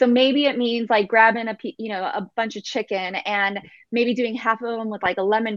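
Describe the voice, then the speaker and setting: A woman with an American accent, a normal speaking voice, speaks at a moderate pace in a fairly high pitch with fairly even intonation, the sound dry and close with no echo over a quiet background. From Texas. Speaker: fitness and nutrition coach. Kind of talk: interview.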